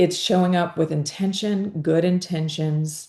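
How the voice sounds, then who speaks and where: The voice has a dark, mellow tone and a Southern US accent. Its intonation stays fairly even. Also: woman. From US South, Georgia. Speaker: podcast host. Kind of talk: interview conversation.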